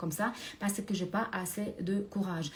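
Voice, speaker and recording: Noticeable background noise fills the recording. Through it, a woman talks at a medium pitch, her pitch varying in an ordinary way. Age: 60s. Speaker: career and finance coach. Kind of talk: motivational talk to camera. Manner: hesitant, many filler sounds.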